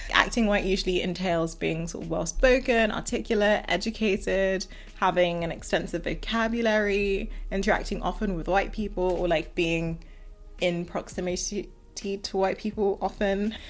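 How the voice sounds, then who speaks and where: A woman with a strong southern English accent, medium pitch and fairly even intonation at a moderate pace. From southern England. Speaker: video commentator. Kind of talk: casual commentary monologue. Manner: articulate, well-spoken.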